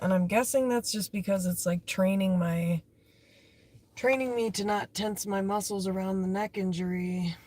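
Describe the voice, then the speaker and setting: A woman with a dark, mellow, somewhat breathy tone speaks at medium pitch and a moderate pace, her intonation fairly even. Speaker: livestreamer. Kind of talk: casual chat. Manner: rambling, halting.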